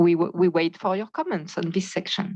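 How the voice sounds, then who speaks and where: A woman with a French accent speaks at a fairly low pitch with fairly even intonation. The sound is dry and close with no echo, over a quiet background. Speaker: standards board member. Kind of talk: meeting presentation. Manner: halting.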